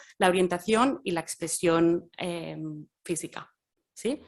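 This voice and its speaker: Here is a voice in a Catalan accent with ordinary pitch variation. The background is quiet. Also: woman. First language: Catalan (speaking Spanish). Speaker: gender researcher. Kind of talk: academic talk. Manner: halting, many fillers.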